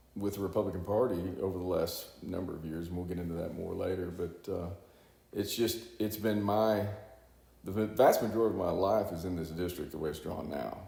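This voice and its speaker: A man with a Texan accent talks at a fairly quick pace in a very deep, low voice with a dark, mellow tone. The sound is somewhat breathy, with fairly even intonation and audible room echo. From Texas, Houston area. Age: 60s. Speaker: congressional candidate and businessman. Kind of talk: interview. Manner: halting, many fillers.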